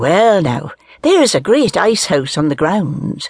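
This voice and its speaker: A man's put-on character voice in a strong Irish accent, sing-song, with a dry, close sound and no echo. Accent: strong Irish brogue. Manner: lilting, sing-song rhythm.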